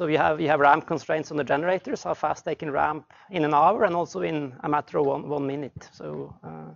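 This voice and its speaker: Vocal fry colors this man's voice. He moves at a fairly quick pace. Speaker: seminar speaker, energy researcher. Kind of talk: technical seminar lecture. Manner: fast; halting, many repetitions and fillers.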